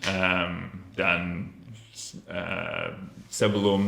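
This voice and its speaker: A man speaks at a very slow pace with a very deep, low pitch. His tone is bright and sharp, and audible room echo is present. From Australia (Melbourne). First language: English (speaking Indonesian). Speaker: language student. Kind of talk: interview. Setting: podcast studio. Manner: halting, many fillers.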